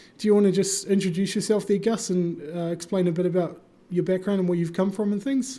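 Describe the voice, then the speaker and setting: Very fast and with a New Zealand accent, a man talks at a high pitch in a dark, mellow tone, his intonation fairly even. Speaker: podcast host. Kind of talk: interview. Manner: casual, hesitant.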